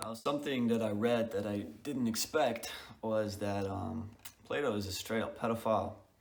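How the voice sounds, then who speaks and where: A man with a non-native accent speaks at a moderate pace. His pitch is fairly low, and the room echo is audible. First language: not English. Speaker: book reviewer. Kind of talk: casual video review. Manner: hesitant, many fillers.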